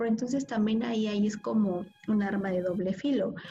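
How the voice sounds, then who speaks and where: A woman with a medium pitch and fairly even intonation talks against noticeable background noise. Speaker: podcast co-host. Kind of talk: casual chat.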